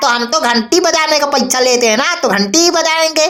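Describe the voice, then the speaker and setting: A cartoonish character voice at a fairly quick pace. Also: woman, high pitch for a woman. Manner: cheeky, rustic.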